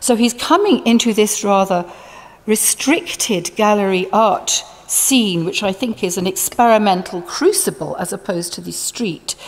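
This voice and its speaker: A woman speaks at a fairly slow pace in a fairly high voice, with lively intonation, big swings in loudness, and noticeable background noise. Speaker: art historian. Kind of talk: conference lecture.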